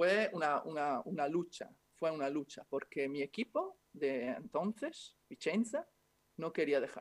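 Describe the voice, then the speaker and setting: In a dry, close recording with no echo, a man talks at a fairly slow pace, his fairly high pitch showing ordinary variation. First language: Italian (speaking Spanish). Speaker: former basketball player, club manager. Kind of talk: interview.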